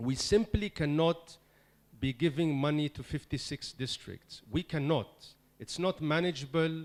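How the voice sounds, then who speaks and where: With a non-native accent, the speaker talks at a fairly slow pace with ordinary pitch variation. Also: man, fairly high pitch for a man. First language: not English. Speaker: senior official of a UN agency. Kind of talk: meeting speech. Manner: emphatic; hesitant fillers.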